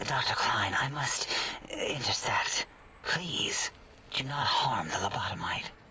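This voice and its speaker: A man whispers in a put-on character voice. He goes at a fairly slow pace. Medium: machinima.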